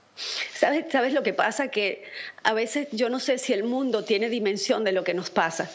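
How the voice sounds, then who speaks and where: This woman's fairly high pitch shows ordinary pitch variation, and her pace is moderate. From Venezuela. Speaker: Venezuelan opposition activist; guest. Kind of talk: political commentary. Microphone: video call.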